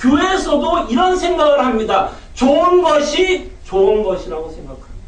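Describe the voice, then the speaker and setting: A man with extremely high pitch and lively intonation speaks at a moderate pace, with audible room echo and noticeable background noise. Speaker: pastor. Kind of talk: sermon.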